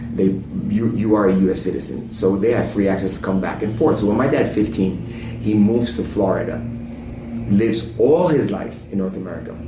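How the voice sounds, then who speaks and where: A man with a fairly low pitch and ordinary pitch variation talks at a fairly quick pace, with audible room echo and noticeable background noise. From New Jersey, Italian neighborhood. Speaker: pastor. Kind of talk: casual chat. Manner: animated.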